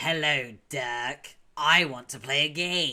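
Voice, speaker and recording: A put-on character voice comes out at a very slow pace. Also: man. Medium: virtual streamer. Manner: loud, shouting.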